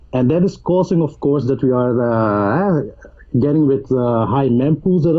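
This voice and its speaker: A man with a non-native accent speaks at a fairly high pitch. His pace is moderate and his pitch variation ordinary. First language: not English. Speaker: cryptocurrency youtuber. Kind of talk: interview. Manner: halting, repeats words.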